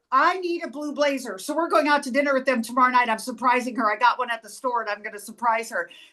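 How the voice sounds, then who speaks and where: A woman talks at a very fast pace in a raised, projected voice. Her tone is animated, bright and sharp. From US Midwest, Nebraska. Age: 60s. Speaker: author and fashion stylist. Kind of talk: casual chat. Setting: video call.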